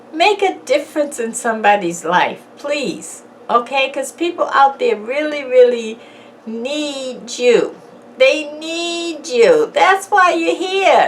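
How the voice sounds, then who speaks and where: Very slowly, a woman speaks with very wide pitch swings. Noticeable background noise runs underneath. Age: 60s. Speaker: YouTuber. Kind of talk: motivational talk. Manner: casual.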